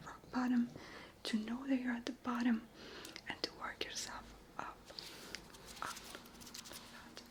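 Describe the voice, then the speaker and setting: A woman whispers at a fairly slow pace. There is noticeable background noise. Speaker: ASMR creator. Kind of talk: motivational talk to camera, unscripted. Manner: whispered, soft, kind.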